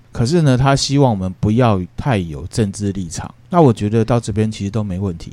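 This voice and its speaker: Delivered at a fairly quick pace with hardly any pauses, the voice has a dark, mellow tone and lively intonation. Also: man, fairly low pitch for a man. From Taiwan. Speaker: podcast host explaining classical philosophy. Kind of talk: casual explanatory podcast chat.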